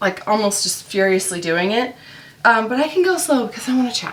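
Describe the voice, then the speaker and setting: Her pitch is fairly high, with very wide swings, as a woman talks at a fairly quick pace. Noticeable background noise runs underneath. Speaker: mom vlogger and online reseller. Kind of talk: casual chat while working. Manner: chatty, many fillers.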